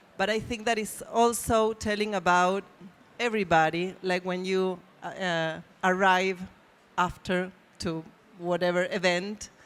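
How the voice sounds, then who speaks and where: A woman with a Spanish accent speaks at a medium pitch in a monotone, flat intonation. Her pace is fairly slow, with long, frequent pauses. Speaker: publisher. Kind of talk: panel discussion. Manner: halting.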